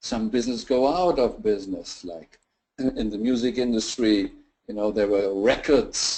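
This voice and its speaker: Dark, mellow tone from a man at a medium pitch, his pitch variation ordinary. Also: moderate pace. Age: 60s. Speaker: business presenter. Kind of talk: webinar presentation. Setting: online webinar call.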